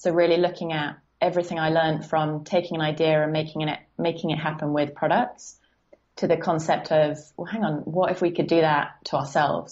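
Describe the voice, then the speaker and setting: In an English accent, a woman talks at a moderate pace with a very deep, low pitch and monotone, flat intonation. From southern England, Guildford. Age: 20s. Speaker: life coach. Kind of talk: podcast interview.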